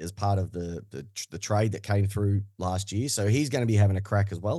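A man with an Australian accent speaks at a moderate pace. His pitch is fairly low, and the background is quiet. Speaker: football podcaster. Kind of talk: casual chat.

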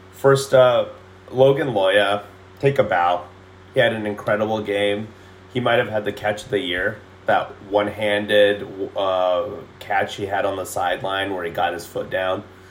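Against noticeable background noise, a man with a fairly low pitch speaks at a fairly slow pace with fairly even intonation. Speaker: sports podcast co-host. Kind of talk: casual chat.

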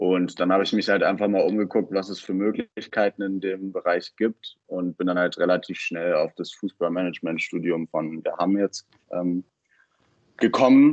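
A man speaks with fairly even intonation, neither fast nor slow. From Berlin, early childhood in Baden-Württemberg. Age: 20s. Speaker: football coach and student. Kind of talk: interview. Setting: podcast recording. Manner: hesitant, many fillers.

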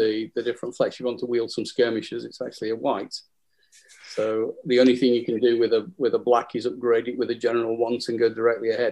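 Speaking very fast in a Lancashire accent, a man holds a medium pitch with monotone, flat intonation and a dark, mellow tone. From northern England, Burnley, Lancashire. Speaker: wargames rules writer. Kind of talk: casual chat. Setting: phone call.

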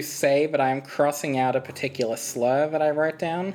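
With an Australian accent, this speaker keeps a moderate pace and fairly even intonation while noticeable background noise runs underneath. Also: woman. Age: 20s. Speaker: gaming YouTuber, podcast guest. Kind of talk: casual chat.

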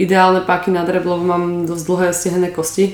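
Speaking at medium pitch in a monotone, flat intonation, a woman is heard with audible room echo and noticeable background noise. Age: 30s. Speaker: powerlifter. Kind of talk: interview. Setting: studio.

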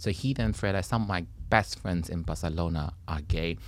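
Speaking at a moderate pace with a Taiwanese accent, a man uses a very deep, low pitch and lively intonation. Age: 40s. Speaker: comedian. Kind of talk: casual chat. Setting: studio.

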